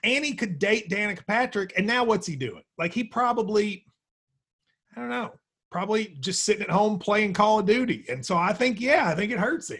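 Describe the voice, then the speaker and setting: A man talks at a high pitch. His intonation is lively. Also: moderate pace. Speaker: sports betting podcast host. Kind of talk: casual chat.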